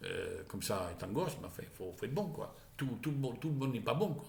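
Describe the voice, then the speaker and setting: Audible room echo surrounds a man whose voice is somewhat breathy. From Charente, southwestern France. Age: 60s. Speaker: vlogger. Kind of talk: casual monologue vlog. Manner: halting, with many repetitions.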